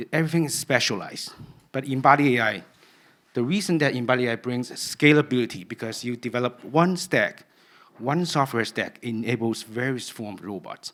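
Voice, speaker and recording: Delivered at a fairly quick pace in a Cantonese accent, the speech has ordinary pitch variation. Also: man, medium pitch for a man. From Cantonese-speaking region (Hong Kong/Guangdong). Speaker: researcher giving a conference talk. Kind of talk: conference talk.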